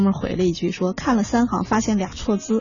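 Very fast and with fairly even intonation, a woman talks at medium pitch against noticeable background noise. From China, outside Beijing. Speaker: human resources consultant. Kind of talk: radio interview. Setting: radio studio.

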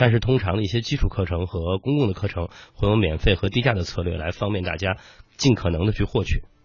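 A man races along at a very fast pace, his voice somewhat breathy and fairly low in pitch. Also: ordinary pitch variation. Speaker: startup founder. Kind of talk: interview.

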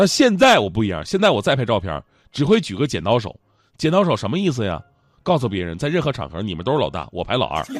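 A man talks at a very fast pace with an animated tone, his medium-pitched voice swinging very widely and showing vocal fry. The background is quiet. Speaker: radio host. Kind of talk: comedic talk-show monologue.

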